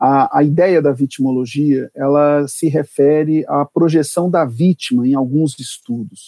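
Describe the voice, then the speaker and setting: A man with a normal speaking voice, fairly high in pitch, at a fairly slow pace with fairly even intonation and hardly any pauses. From Brasília, Brazil. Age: 40s. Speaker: public prosecutor and law professor. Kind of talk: interview on legal topics. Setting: remote recording.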